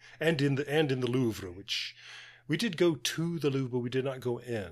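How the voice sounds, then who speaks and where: A man with an American accent speaks at a moderate pace with lively intonation, in an ordinary speaking voice. The recording is very clean with a silent background. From United States. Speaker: podcast co-host.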